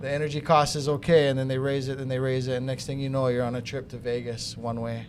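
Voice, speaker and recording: A man rattles along at a very fast pace in a monotone, flat voice, with audible room echo. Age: 60s. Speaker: solar company executive. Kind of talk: casual podcast conversation.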